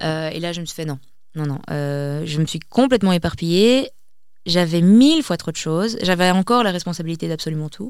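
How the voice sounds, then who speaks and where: With an unremarkable speaking voice, a woman talks fairly quickly in a fairly low pitch, her intonation lively and her loudness swinging widely. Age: 20s. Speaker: community founder, entrepreneur. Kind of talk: interview.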